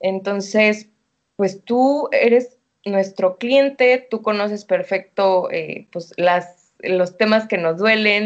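With a Mexican accent, a woman speaks at a medium pitch with fairly even intonation. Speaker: entrepreneur. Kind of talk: casual interview.

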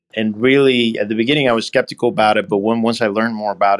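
A man speaks very fast in a Puerto Rican accent. His pitch is fairly low, with ordinary variation. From Puerto Rico. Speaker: acquisition entrepreneur. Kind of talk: interview.

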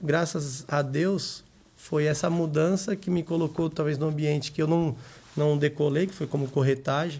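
This is a normal speaking voice. Its intonation stays fairly even. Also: man, fairly high pitch for a man, moderate pace. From São Paulo metro area, Brazil. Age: 30s. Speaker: entrepreneur. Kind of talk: casual interview.

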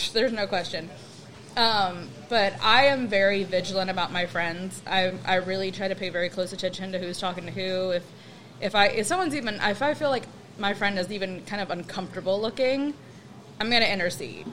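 A woman's plain, everyday voice at a medium pitch, with ordinary pitch variation and a fairly quick pace. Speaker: guest. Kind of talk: casual chat.

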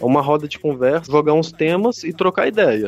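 At a moderate pace, a man talks with lively intonation in a dry, close sound with no echo. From Minas Gerais, Betim near Belo Horizonte. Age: 30s. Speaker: psychology student and hip hop activist. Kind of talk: casual chat.

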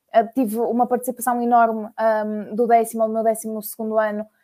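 A woman's fairly high, dark, mellow voice in a monotone, flat intonation at a moderate pace. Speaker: university student. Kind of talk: casual chat.

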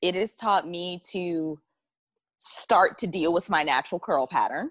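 In a normal speaking voice with ordinary pitch variation, the speaker talks at a fairly slow pace with a dry, close sound and no echo. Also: woman. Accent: American. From US South. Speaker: podcast co-host. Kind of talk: casual chat.

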